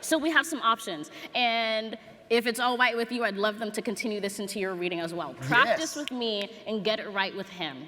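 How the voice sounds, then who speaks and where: At a fairly quick pace, a woman speaks in a warm tone with a fairly high pitch. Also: lively intonation. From Los Angeles. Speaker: poet. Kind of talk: talk to live audience. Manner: warm, humorous.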